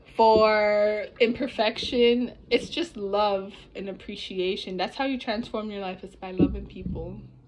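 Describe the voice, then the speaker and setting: A woman speaks at a very slow pace with ordinary pitch variation. Noticeable background noise sits behind her. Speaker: vlogger. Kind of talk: casual reflective vlog talk. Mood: reflective, warm. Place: home room. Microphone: phone near.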